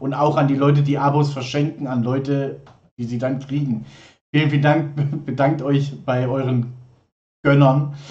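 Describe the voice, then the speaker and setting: A man with a fairly high pitch speaks at a moderate pace, his voice somewhat breathy. His intonation is flat and monotone, broken by long, frequent pauses. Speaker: livestream host. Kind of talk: casual live stream chat. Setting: live stream studio. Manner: chatty, informal.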